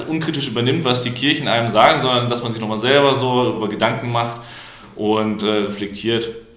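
Noticeable background noise and audible room echo surround a man speaking at a medium pitch. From Germany, Paderborn. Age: 20s. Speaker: student and liberal youth politician. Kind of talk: podcast debate.

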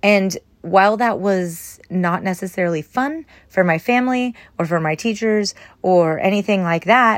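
At a moderate pace, a woman speaks with lively intonation and a medium pitch. It is an ordinary speaking voice. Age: 30s. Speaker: lifestyle podcast host. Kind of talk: casual solo monologue. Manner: rambling, conversational with fillers.

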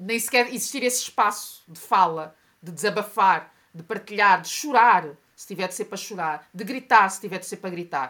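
A bright, sharp tone with ordinary pitch variation and big swings in loudness, in a very clean recording with a silent background. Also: woman, medium pitch for a woman, moderate pace. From Portugal. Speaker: journalist and activist. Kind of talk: interview conversation.

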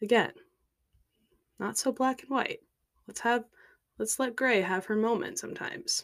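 Her pitch is fairly high, with ordinary variation, as a woman talks at a moderate pace. She takes long, frequent pauses. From US Midwest, Minnesota. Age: 20s. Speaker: podcaster. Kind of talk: casual monologue.

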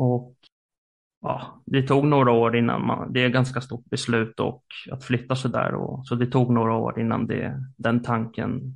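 A man's voice sits at a medium pitch, and his intonation stays fairly even. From Stockholm, Sweden. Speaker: theologian and podcaster. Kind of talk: casual religious conversation.

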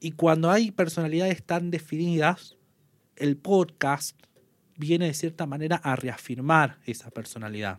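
With a plain, everyday voice, a man speaks fairly slowly at a fairly high pitch, with ordinary pitch variation. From northern Argentina, Salta province. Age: 30s. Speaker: sports journalist and radio commentator. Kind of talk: casual interview.

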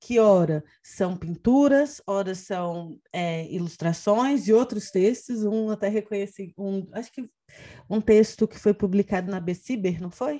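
Recorded very cleanly against a silent background, a woman with a dark, mellow tone speaks at a fairly slow pace and medium pitch, with big swings in loudness. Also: ordinary pitch variation. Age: 30s. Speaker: podcast host, education researcher. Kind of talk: interview conversation.

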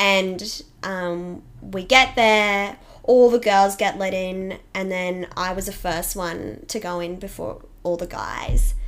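A woman in an Australian accent, medium pitch with ordinary pitch variation, big swings in loudness and a very slow pace. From Australia, Toowoomba (Queensland). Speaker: fitness business owner, boxing coach. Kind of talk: casual interview chat.

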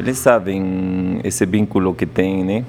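Noticeable background noise sits behind a man with a very deep, low voice. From Peruvian Andes. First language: Quechua and Spanish (speaking Portuguese). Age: 40s. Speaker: chef and restaurant owner. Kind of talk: interview.

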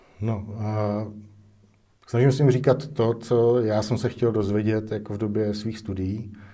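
Very slowly and in a flat monotone, a man with a fairly low pitch and a dark, mellow tone speaks amid audible room echo. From Czech Republic, Most. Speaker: film director and cinematographer. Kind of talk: interview. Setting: studio.

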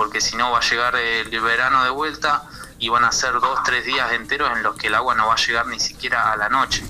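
Noticeable background noise sits under a man's medium-pitched voice, flat and monotone at a fairly quick pace. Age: 20s. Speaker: community kitchen organizer. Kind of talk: radio interview. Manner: halting.

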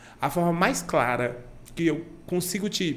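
There is audible room echo as a man speaks with fairly high pitch and ordinary pitch variation. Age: 20s. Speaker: event producer. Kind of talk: casual chat.

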